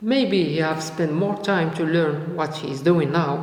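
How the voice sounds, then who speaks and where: Spoken at a very slow pace with a non-native accent, the voice has audible room echo and noticeable background noise. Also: man. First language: not English. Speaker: youtuber, freelancer. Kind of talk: motivational vlog. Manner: halting, many fillers and repetitions.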